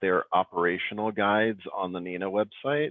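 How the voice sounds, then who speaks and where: A man with an American accent, at a fairly low pitch with ordinary pitch variation. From Wisconsin, Appleton area. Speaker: presenter, 911 routing expert. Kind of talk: webinar Q&A.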